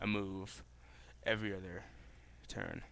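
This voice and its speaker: A man speaks quietly. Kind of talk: casual talk to camera. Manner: rambling, hesitant.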